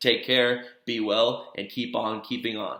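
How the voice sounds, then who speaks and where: In a room with audible echo, a man with a medium pitch and a bright, sharp tone speaks in a monotone, flat way. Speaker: teacher. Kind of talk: lecture. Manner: fast.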